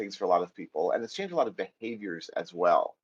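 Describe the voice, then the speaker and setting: An American accent from a man, very wide pitch swings, and a dry, close sound with no echo. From US, New York area. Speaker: Python trainer. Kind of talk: technical lecture.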